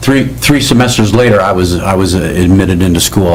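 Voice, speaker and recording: A man with an American accent, fairly low pitch, lively intonation and moderate pace, with audible room echo and noticeable background noise. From Arizona. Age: 60s. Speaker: school board candidate. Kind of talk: candidate forum statement. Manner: halting, many fillers.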